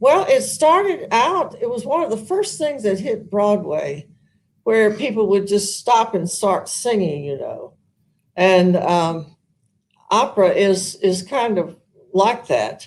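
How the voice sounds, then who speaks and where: A woman speaks very slowly with a Southern accent. Her fairly high pitch swings very widely. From US South, Arkansas. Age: old. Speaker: retired opera singer, senior living resident. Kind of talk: interview. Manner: halting.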